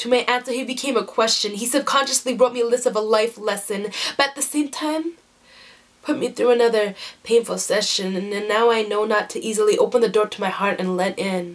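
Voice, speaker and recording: A woman speaks at a fairly quick pace with ordinary pitch variation. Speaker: spoken word poet. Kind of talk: spoken word poetry performance. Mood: emotional, intense. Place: home room. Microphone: webcam.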